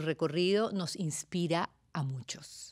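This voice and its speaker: A woman with a Venezuelan accent speaks at a very slow pace and a fairly low pitch, with ordinary pitch variation. The recording is very clean, with a silent background. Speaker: talk show host. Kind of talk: interview.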